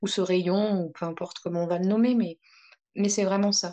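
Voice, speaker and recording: The tone is dark and mellow. The pace is moderate. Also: woman. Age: 30s. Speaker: therapist. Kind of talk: interview. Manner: halting.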